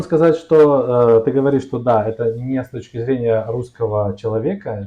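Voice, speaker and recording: In a Russian accent, a man at medium pitch speaks at a fairly quick pace with ordinary pitch variation. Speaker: Russian teacher. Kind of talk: casual conversation in Russian.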